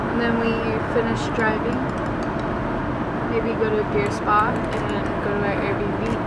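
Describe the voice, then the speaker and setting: Long, frequent pauses break up the speech against loud background noise. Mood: relaxed, upbeat. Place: car. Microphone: phone near.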